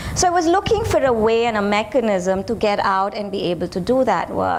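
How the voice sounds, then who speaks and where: Over noticeable background noise and audible room echo, a woman with an Indian accent speaks at a moderate pace and a fairly high pitch. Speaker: professor and family therapist. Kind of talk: lecture.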